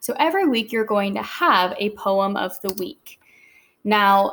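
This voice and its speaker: Recorded very cleanly against a silent background, a woman with an unremarkable speaking voice talks with lively intonation. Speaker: teacher. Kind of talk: tutorial.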